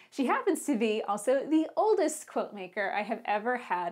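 A woman speaks at a moderate pace with very wide pitch swings. The background is quiet. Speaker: podcast host. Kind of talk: podcast intro. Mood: cheerful, warm. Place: studio. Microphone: lapel.

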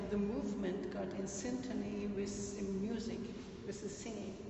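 Amid noticeable background noise and audible room echo, a woman talks at a moderate pace. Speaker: audience participant. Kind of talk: group discussion. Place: hall. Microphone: phone near.

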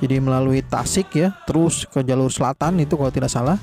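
A man is speaking, with clear music in the background. The sound is dry, with no echo. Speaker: family travel vlogger. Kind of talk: casual vlog chat. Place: car. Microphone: phone near.

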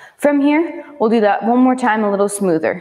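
A woman talks at a moderate speed, the background quiet. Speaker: movement instructor. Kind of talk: exercise class instruction. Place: gym. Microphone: lapel.

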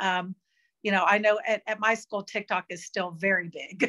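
A bright, sharp tone comes through at a moderate pace with fairly even intonation against a quiet background. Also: woman. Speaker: interview guest, teacher, video creator. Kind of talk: interview answer. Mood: relaxed, friendly.

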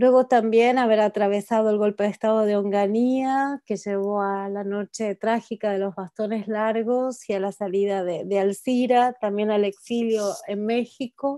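A woman speaks fairly slowly in a dark, mellow tone at a fairly high pitch, with fairly even intonation. The background is quiet and the sound is dry with no echo. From Argentina. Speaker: academic panelist. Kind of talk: academic talk. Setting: video call. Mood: reflective, somber tribute. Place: home room. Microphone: earbuds.

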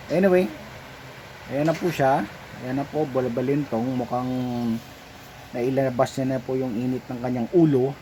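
A man at medium pitch and a moderate pace, with fairly even intonation, long and frequent pauses, and noticeable background noise. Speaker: pet vlogger. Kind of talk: voice-over narration. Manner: halting; unscripted, hesitant.

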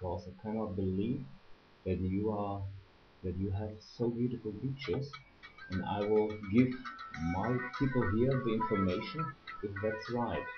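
With faint music in the background, a man speaks at a moderate pace and a fairly low pitch, using ordinary pitch variation and long, frequent pauses. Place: home room. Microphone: webcam.

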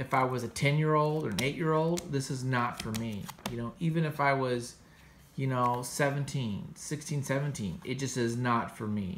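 A man talks at a fairly slow pace with ordinary pitch variation over light background noise. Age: 40s. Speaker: comics podcast host and artist; comics podcast host. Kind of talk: casual review monologue. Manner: casual, filler-heavy. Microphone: phone near.

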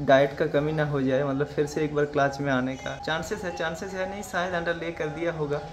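A man's moderate pace and fairly even intonation come through over light background noise. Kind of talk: casual tutorial narration. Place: farm. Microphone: phone near.

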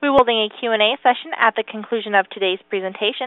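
Talking at a very fast pace, a woman uses ordinary pitch variation in a dry sound with no echo and a quiet background. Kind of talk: scripted announcement. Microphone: phone line.

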